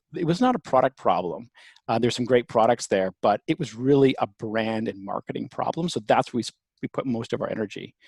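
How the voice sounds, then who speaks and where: A man with a Canadian accent speaks at a moderate pace with ordinary pitch variation, a normal speaking voice. The sound is dry and close with no echo, in a very clean recording with a silent background. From Canada, Toronto. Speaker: company founder and CEO. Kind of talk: interview.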